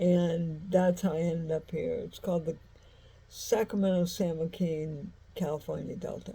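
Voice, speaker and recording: In an American accent, a woman speaks at a fairly slow pace with a fairly low pitch, a dark, mellow tone, a somewhat breathy quality and monotone, flat intonation. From US Midwest, St. Louis. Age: 60s. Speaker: vlogger. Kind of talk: casual monologue. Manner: halting, many fillers.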